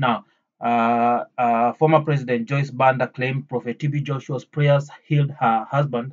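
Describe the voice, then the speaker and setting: A man's medium-pitched, flat monotone at a moderate pace. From Africa. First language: not English. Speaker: YouTuber. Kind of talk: commentary monologue.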